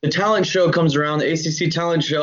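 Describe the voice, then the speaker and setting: With audible room echo, a man with an American accent speaks at a very fast pace, his fairly high voice held to fairly even intonation. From Georgia, US (Atlanta area). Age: 20s. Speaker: rapper. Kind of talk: casual chat.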